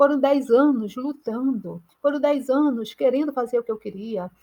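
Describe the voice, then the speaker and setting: The pace is moderate. Pitch variation is ordinary. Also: woman. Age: 60s. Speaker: artist and mentor. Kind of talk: motivational talk. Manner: halting.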